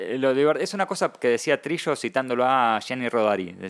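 This is an ordinary speaking voice with ordinary pitch variation. The recording is very clean with a silent background. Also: man. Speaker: comic artist and writer. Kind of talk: casual interview.

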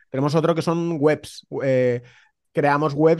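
With ordinary pitch variation, a man's fairly high voice comes through against a quiet background. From Spain, Valencia. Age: 30s. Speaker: real estate investor. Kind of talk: casual interview. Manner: halting, repeats words.

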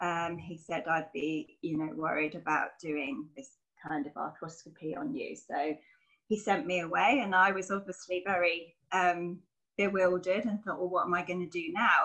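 This woman's fairly low voice, with ordinary pitch variation, is a plain, everyday voice. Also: moderate pace. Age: 40s. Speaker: personal trainer and yoga instructor. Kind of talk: interview.

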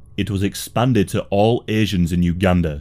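Music plays in the background as a man with a very deep, low pitch speaks at a moderate pace. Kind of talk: history documentary narration. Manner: measured, grave, steady narrator pacing; formal, matter-of-fact, sombre delivery.

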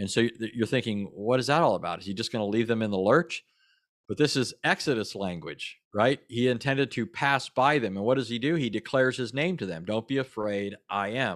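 A man with an American accent talks fairly quickly in a medium pitch with lively intonation, in an ordinary speaking voice. The recording is very clean, with a silent background. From Southern California. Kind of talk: casual interview.

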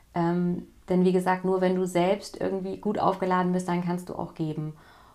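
This woman talks at a moderate pace. Her voice sits at a medium pitch. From West Germany. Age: 40s. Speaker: parenting coach. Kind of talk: casual interview. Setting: in-person in a coaching room.

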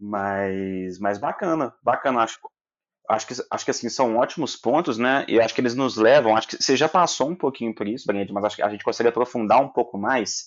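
This man talks at a fairly quick pace, his medium pitch rising and falling in an ordinary way. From Minas Gerais, Brazil. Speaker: podcast host and company founder. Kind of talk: casual interview.

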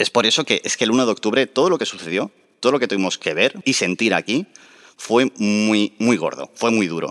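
A man speaks at medium pitch and a moderate pace, with lively intonation and an animated tone. The sound is dry and close with no echo, over a quiet background. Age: 30s. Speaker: political activist. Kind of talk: interview.

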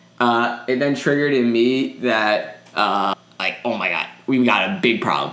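With an animated tone and lively intonation, a man of medium pitch speaks at a moderate pace against noticeable background noise. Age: 20s. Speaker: podcast co-host. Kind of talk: casual chat.

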